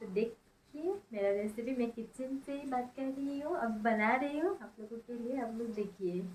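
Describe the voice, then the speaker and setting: Talking with hardly any pauses, a woman with an Assamese accent uses a fairly high pitch. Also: ordinary pitch variation. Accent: Assamese-accented Hindi, non-native. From Assam, India. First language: Assamese (speaking Hindi). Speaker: cooking vlogger. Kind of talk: vlog intro to viewers. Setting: kitchen.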